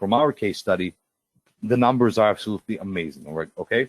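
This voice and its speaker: A man's fairly low, fairly quick voice with a Russian accent, ordinary pitch variation and a dry, close sound with no echo. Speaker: webinar presenter. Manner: swallows words.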